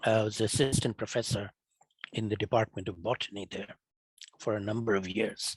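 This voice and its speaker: A man with a Bengali accent speaks fairly quickly yet with long, frequent pauses, his voice fairly low and somewhat breathy, his intonation monotone and flat, in a dry, close sound with no echo. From Bangladesh. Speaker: climate scientist. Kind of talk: lecture.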